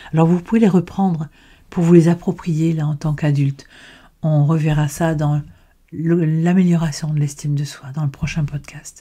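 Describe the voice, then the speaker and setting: Somewhat breathy and dark, mellow in tone, a woman speaks at a very deep, low pitch with fairly even intonation. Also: moderate pace. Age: 70s. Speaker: personal development podcaster. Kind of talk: educational monologue. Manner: halting.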